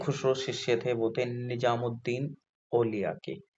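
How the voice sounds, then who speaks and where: This is a man's voice. It sounds somewhat breathy. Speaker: exam prep tutor. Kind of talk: tutorial. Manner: casual, conversational.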